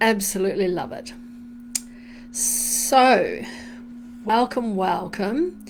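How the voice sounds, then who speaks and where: A woman with a fairly high pitch and ordinary pitch variation speaks at a very slow pace, leaving long, frequent pauses. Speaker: meditation guide. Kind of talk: casual live-stream greeting. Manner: warm, upbeat.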